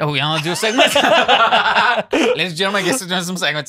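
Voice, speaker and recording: Against a quiet background, a man talks at a very fast pace in a raised, projected voice, high-pitched with lively intonation. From Liverpool. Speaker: stand-up comedian and podcast host. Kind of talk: casual podcast conversation. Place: studio. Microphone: studio mic.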